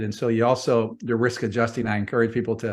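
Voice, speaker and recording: Over a quiet background, a man with a medium pitch talks at a very fast pace in monotone, flat intonation. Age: 60s. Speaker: real estate investor. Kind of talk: podcast interview.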